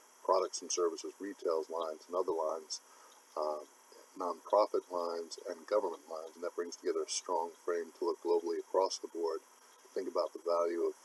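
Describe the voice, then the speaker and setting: Speaking fairly quickly, a man is heard up close. No echo colors the dry sound. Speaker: CPA consultant. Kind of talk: unscripted business presentation. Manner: flat monotone.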